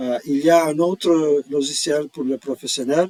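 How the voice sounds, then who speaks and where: Speaking with a non-native accent, a man keeps a fairly slow pace. His pitch is fairly high and his intonation fairly even. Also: dry, close sound with no echo. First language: not French (speaking French). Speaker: tax software employee. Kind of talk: tutorial. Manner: halting, many hesitations.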